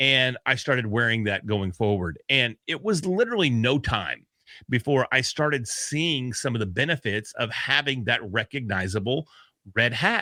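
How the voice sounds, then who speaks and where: A man's medium-pitched, loud voice with a bright, sharp tone and lively intonation, at a moderate pace, dry and close with no echo, in a very clean recording with a silent background. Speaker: podcast host. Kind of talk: casual chat.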